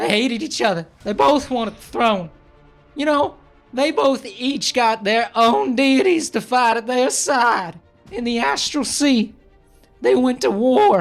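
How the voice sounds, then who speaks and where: A man puts on a character voice at an extremely high pitch, speaking fairly slowly. Faint music plays in the background. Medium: actual play. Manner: rambling, casual, profane.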